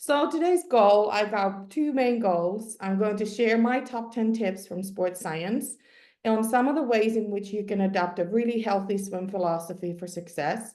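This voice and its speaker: A woman with a Finnish accent, a dark, mellow tone, medium pitch, ordinary pitch variation and a moderate pace, over a quiet background. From Finland. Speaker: sport psychologist. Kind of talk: webinar presentation.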